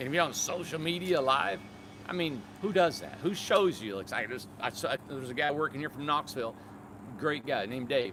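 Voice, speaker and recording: Moderate pace and lively intonation in an American accent. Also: man. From Michigan. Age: 50s. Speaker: tiny home builder and business owner. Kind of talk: casual live stream chat. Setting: live social media stream. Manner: animated.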